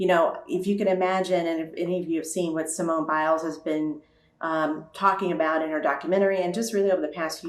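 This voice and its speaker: Her fairly low pitch marks an unremarkable speaking voice from a woman. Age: 60s. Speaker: nonprofit CEO. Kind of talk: panel discussion. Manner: conversational with frequent fillers.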